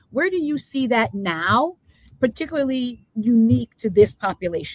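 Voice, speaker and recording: A woman's animated, somewhat breathy voice, fairly high in pitch, with very wide pitch swings, a moderate pace, and a dry, close sound with no echo. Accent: slight New Jersey. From New Jersey. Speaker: education talk show host. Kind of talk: live interview show.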